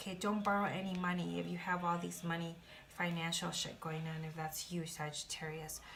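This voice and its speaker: A fairly low-pitched woman at a fairly quick pace, flat and monotone, with audible room echo and noticeable background noise. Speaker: tarot reader. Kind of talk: tarot reading.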